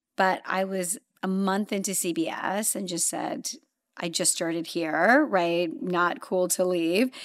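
In a very clean recording with a silent background, a woman with an American accent and a plain, everyday voice speaks fairly slowly at a medium pitch with ordinary pitch variation. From Los Angeles, US (moved from London/Zambia at nine). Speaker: streaming content executive. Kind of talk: interview.

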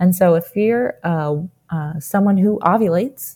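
A woman speaks at a medium pitch with an American accent. Her tone is dark and mellow, and somewhat breathy. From New Jersey. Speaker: physician assistant student. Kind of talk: interview.

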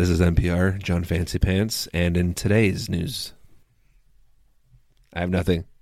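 Using a put-on character voice, a man speaks raspy and very deep, at a fairly slow pace with long, frequent pauses and flat, monotone intonation. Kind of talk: smooth, sophisticated public radio.

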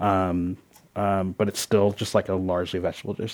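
On a very clean recording with a silent background, a man with an American accent speaks at a moderate pace. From Philadelphia. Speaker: chef. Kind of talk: panel talk. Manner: halting, many fillers.

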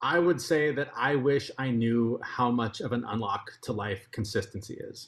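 A man speaks in a plain, everyday voice at a medium pitch. His pace is moderate, with ordinary pitch variation and hardly any pauses. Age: 40s. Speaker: podcast host and health advocate. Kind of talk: interview.

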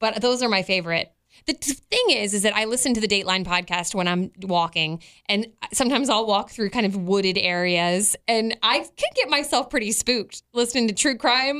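A woman's normal speaking voice, fairly high in pitch, with lively intonation. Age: 40s. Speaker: podcast co-host. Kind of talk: casual chat.

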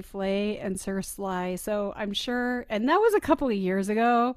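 Here is a plain, everyday voice at a fairly slow pace with ordinary pitch variation. The recording is very clean, with a silent background. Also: woman. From Arizona. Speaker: podcast host, playwright. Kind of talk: casual chat.

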